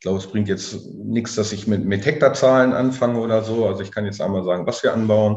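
His voice sits fairly low and moves along at a fairly quick pace. The intonation stays fairly even while the loudness swings widely. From southern Lower Saxony, Germany. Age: 40s. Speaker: farmer. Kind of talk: interview. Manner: halting, many fillers and repetitions.

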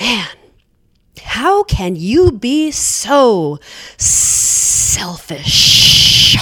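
In a put-on character voice with a fairly high pitch, the speaker hisses and moves at a very slow pace through very wide pitch swings. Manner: hissed, sharp, cutting.

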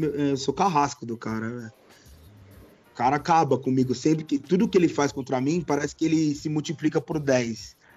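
Delivered at a moderate pace, a normal speaking voice shows ordinary pitch variation. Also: man, fairly high pitch for a man. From Brazil, São Paulo. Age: 20s. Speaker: YouTube football goalkeeper. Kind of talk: casual chat.

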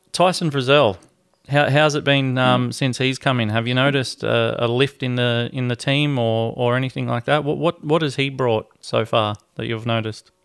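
A man with an Australian accent at a medium pitch and moderate pace, his intonation fairly even. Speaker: sports podcast host. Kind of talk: casual interview.

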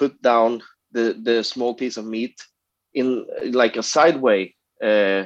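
The speaker goes at a slow pace with ordinary pitch variation. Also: man, medium pitch for a man.

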